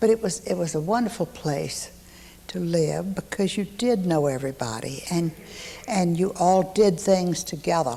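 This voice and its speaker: A woman speaks with a Texan accent at a moderate pace. Her pitch sits fairly low. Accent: Texan Southern US. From East Texas (Huntsville). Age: 70s. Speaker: local elder recalling her childhood. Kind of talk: oral history interview.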